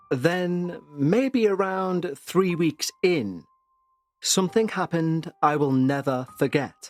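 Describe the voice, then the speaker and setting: A man speaks very slowly in a high voice, his loudness very even. Music plays in the background. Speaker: podcast host, narrator. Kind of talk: paranormal story narration.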